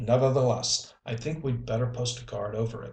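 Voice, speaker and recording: Putting on a gruff character voice, a man speaks at a moderate pace and medium pitch with monotone, flat intonation. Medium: read story. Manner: gruff, commanding.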